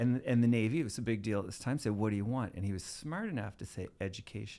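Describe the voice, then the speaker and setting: Speaking very fast in a Maritime Canadian accent, a man uses a dark, mellow tone at medium pitch with ordinary pitch variation. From Canada, Nova Scotia (Halifax area). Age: 60s. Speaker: TV producer and filmmaker. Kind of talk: podcast interview storytelling.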